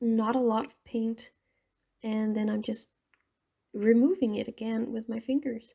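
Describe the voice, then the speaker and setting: Mumbling at a fairly slow pace, the speaker has a dark, mellow tone and fairly even intonation. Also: woman. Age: 20s. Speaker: painting vlogger. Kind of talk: casual vlog commentary while painting. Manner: rambling, halting.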